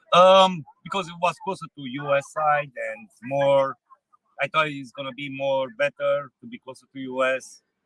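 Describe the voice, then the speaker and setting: With a Romanian accent, the voice shows big swings in loudness in a dry, close sound with no echo. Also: man, fairly high pitch for a man, ordinary pitch variation, moderate pace. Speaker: truck driver. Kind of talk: street interview. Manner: halting.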